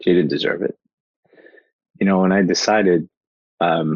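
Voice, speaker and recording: The speaker is a man. He talks at a fairly quick pace. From Portugal, raised in New Jersey. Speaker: mindset mentor and speaker. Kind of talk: podcast interview, motivational talk. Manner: fast talker, animated.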